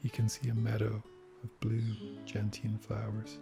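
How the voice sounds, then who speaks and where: Music plays behind a soft-spoken man whose fairly low voice shows ordinary pitch variation. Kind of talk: sleep story.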